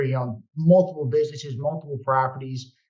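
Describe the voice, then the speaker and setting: A man with a Brooklyn accent speaks at a fairly quick pace in a fairly high pitch. His voice is somewhat breathy, with ordinary pitch variation. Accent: New York (Brooklyn). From New York (Brooklyn). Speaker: real estate investor. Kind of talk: podcast interview.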